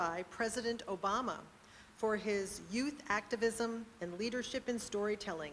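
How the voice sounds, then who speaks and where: An ordinary speaking voice from a woman, at a moderate pace, fairly high-pitched, with ordinary pitch variation. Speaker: poetry event host. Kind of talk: event introduction.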